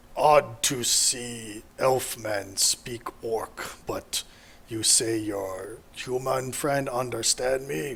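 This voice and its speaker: Clear background noise sits under a man's put-on character voice. He speaks at medium pitch and a very slow pace. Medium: actual play. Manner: broken, simple speech.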